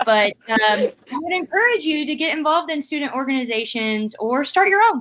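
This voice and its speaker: A medium tempo with pitch that swings very widely. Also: woman. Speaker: graduate student, podcast co-host. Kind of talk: casual chat. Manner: animated.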